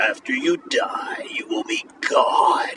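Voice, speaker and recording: A man speaks in a put-on character voice at an extremely high pitch. His tone is dramatic and his pace very slow. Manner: ominous, dramatic.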